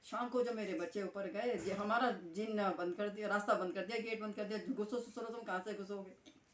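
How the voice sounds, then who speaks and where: A woman's medium-pitched voice at a moderate pace, with hardly any pauses, ordinary pitch variation and noticeable background noise. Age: 70s. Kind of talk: interview answer.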